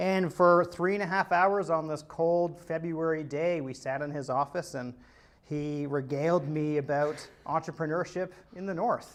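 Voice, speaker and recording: At a moderate pace, a man with a Canadian accent uses an ordinary speaking voice, fairly high in pitch and fairly even in intonation. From Ontario, suburb of Toronto. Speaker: entrepreneur. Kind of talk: interview talk. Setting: video call. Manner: casual, filler-heavy.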